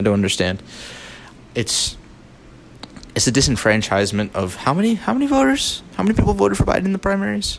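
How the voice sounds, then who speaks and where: Against noticeable background noise, a man talks at a very fast pace in an animated tone, with long, frequent pauses. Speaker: political commentary youtuber. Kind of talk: unscripted rant.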